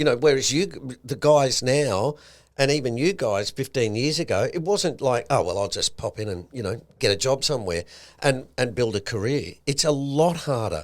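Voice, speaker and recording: A man with an Australian accent speaks at a moderate pace with lively intonation and vocal fry on a very clean recording with a silent background. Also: medium pitch for a man. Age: 60s. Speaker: podcast co-host, investment commentator. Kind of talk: casual podcast chat.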